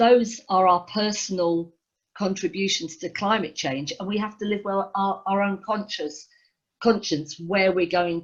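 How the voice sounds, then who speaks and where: A woman speaks with a London accent. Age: 60s. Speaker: rock musician. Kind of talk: interview.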